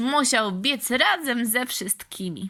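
Captured in a very clean recording with a silent background, a woman speaks in a bright, sharp tone with ordinary pitch variation. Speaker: audiobook reader for kids. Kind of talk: bedtime-style fairy tale reading aloud, scripted narration. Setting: after-school club audience. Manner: calm, warm, unhurried storyteller pace with gentle expressive character voices.

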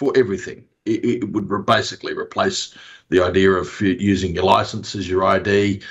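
Here a man speaks at a moderate pace. The background is quiet. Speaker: remote interview guest. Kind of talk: interview answer. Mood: critical, mildly jokey. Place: home room. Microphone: video call.

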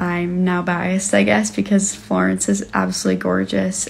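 Light background noise sits under speech at a moderate pace. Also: woman. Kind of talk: casual vlog chat. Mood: cheerful, smiling. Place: home room. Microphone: phone near.

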